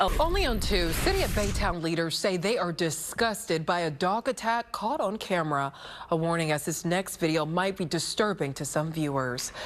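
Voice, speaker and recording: A woman with an ordinary speaking voice talks at a moderate pace and fairly low pitch, with lively intonation. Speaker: TV news anchor. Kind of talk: TV news read.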